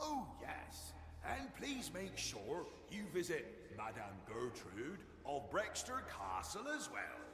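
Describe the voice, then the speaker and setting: A man's put-on character voice at a very slow pace, with slight echo and loud background noise. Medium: game stream. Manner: giggling, mockingly courteous.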